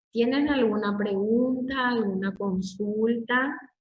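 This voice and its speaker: A woman's somewhat breathy voice at a very slow pace, fairly high in pitch with ordinary pitch variation. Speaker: university lecturer. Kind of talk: lecture. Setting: online class.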